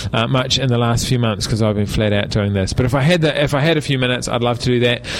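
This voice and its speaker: A man with a New Zealand accent at a medium pitch and a very fast pace, over noticeable background noise. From New Zealand, Palmerston North. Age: 40s. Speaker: political candidate, former air force pilot. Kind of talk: radio interview. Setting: radio studio.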